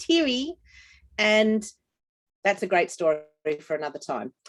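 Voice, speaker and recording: In a dry, close sound with no echo, a woman with an Australian accent speaks at a moderate pace, her fairly high pitch making very wide swings. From Australia, New South Wales. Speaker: dog trainer. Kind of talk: business presentation.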